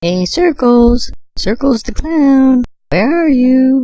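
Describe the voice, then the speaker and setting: In a cartoonish character voice, a female-sounding speaker with a high pitch goes at a very slow pace. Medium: puppet show. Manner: earnest, inquisitive.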